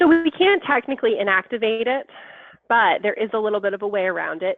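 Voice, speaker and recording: A woman speaks at a fairly high pitch with lively intonation. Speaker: software trainer. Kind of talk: online training session. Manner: fast.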